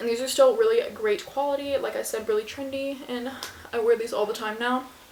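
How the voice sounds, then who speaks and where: Noticeable background noise sits behind a woman with a high pitch. She speaks at a fairly quick pace with ordinary pitch variation. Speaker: lifestyle YouTuber. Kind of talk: casual product review vlog. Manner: fast; casual, many fillers.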